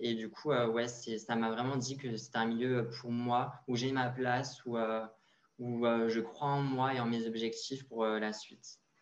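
A man talks at a medium pitch with monotone, flat intonation. Audible room echo surrounds his voice. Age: 20s. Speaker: fashion model and university student. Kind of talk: interview.

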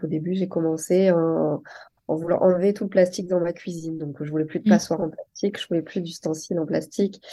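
Against a quiet background, a woman talks in a dark, mellow, fairly low voice with fairly even intonation. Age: 30s. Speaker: entrepreneur. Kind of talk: interview. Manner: hesitant, many fillers.

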